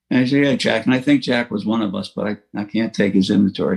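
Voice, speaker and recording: Speaking at a very fast pace, a man with a New York accent uses a medium pitch. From New York City, Queens (Rockaway Beach). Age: 80s+. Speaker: recovering alcoholic speaker. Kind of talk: recovery talk testimony. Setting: online meeting. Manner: halting with fillers.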